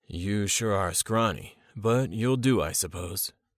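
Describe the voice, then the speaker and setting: A raspy, put-on character voice from a man, fairly low in pitch with ordinary pitch variation, at a fairly slow pace on a very clean recording with a silent background. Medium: read story. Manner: commanding, gruff.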